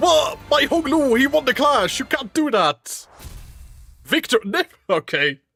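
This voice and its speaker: With music in the background, a man with an extremely high pitch uses a raised, projected voice and lively intonation, speaking fairly slowly with long, frequent pauses and very even loudness, in a dry, close sound with no echo. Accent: Dutch. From Netherlands. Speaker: video game streamer. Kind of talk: gameplay commentary. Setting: live stream. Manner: casual, rambling with fillers.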